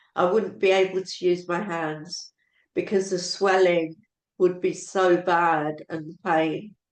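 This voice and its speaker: A woman is speaking. Her pace is very slow. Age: 70s. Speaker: product user giving testimony. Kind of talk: testimony. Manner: halting.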